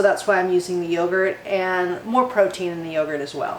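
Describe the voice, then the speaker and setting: A woman talks with ordinary pitch variation, her voice carrying audible room echo. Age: 60s. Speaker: cooking channel host. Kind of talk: tutorial.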